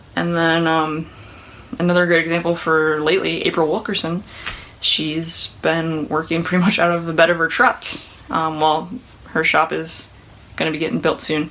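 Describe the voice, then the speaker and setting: The speech is mumbled at a moderate pace, broken by long, frequent pauses. Noticeable background noise runs underneath. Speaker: woodworking YouTuber. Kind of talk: casual Q&A monologue. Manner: mumbling.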